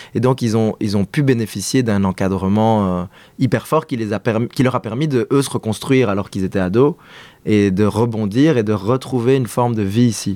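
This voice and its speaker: A man's medium-pitched voice, dark and mellow in tone, with ordinary pitch variation and a moderate pace, on a very clean recording with a silent background. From Belgium. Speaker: podcast guest. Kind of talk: casual interview conversation. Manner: hesitant, many fillers.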